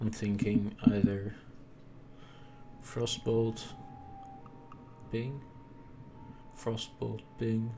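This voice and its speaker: Amid audible room echo and music in the background, a man speaks at medium pitch and a very slow pace, in flat, monotone intonation with long, frequent pauses. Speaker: gaming video creator. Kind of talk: gameplay commentary. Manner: soft-spoken.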